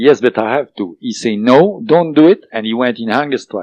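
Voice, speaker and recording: A man with a non-native accent, ordinary pitch variation, and a dry, close sound with no echo. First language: not English. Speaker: author of a book on alien contact. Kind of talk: interview. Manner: hesitant, many fillers.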